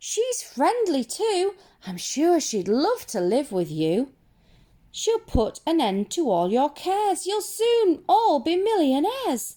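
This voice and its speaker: A female-sounding put-on character voice, pitched extremely high with very wide swings. The pace is fairly slow. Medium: read story.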